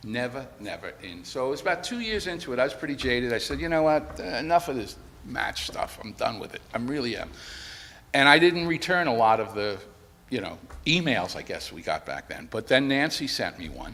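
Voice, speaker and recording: An American-accented man at medium pitch, fairly quick in pace, with lively intonation, big swings in loudness and audible room echo. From New York City, the Bronx. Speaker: widower giving eulogy. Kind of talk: eulogy. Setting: church memorial service. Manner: conversational, storytelling.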